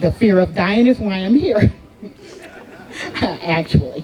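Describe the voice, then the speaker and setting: A woman's medium-pitched voice with an American accent, very slow in pace and ordinary in pitch variation, against crowd noise in the background. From United States. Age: 70s. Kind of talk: speech at a celebration.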